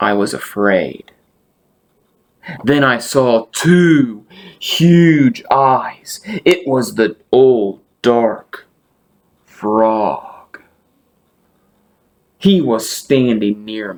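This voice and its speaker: A man puts on a character voice at a medium pitch. He goes at a very slow pace with long, frequent pauses. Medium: read story.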